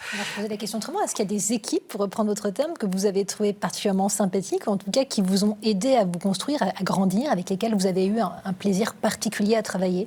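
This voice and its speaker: The speech moves at a very fast pace with ordinary pitch variation, over noticeable background noise. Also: woman, medium pitch for a woman, hardly any pauses. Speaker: TV presenter. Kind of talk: TV interview host.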